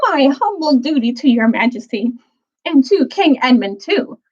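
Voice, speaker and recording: A shrill, put-on character voice delivers lines at a moderate pace. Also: woman, high pitch for a woman. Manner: courtly, gallant, polite.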